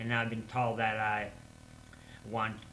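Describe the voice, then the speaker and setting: With audible room echo, a medium-pitched man speaks at a moderate pace in a bright, sharp tone with monotone, flat intonation. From Russia. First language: Russian. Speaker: English learner vlogger. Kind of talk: casual monologue vlog. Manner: halting, with repetitions and fillers.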